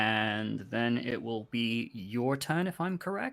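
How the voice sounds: Lively intonation in a natural reading voice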